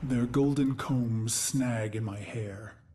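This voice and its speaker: Using a put-on character voice, a man speaks at a very slow pace with an intense tone. His pitch is medium and his intonation fairly even. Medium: video game. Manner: grim, intense inner narration.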